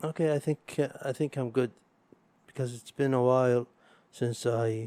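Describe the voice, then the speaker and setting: A man's dark, mellow voice moves at a moderate pace and medium pitch, with fairly even intonation and a dry, close sound free of echo. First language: Arabic. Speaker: podcast host. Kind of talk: casual solo podcast monologue. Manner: halting, with repetitions.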